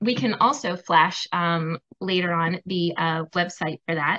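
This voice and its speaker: Fairly slow speech from a woman with a bright, sharp tone against a quiet background. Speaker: co-host. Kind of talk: sponsor announcement. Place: home room. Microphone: video call.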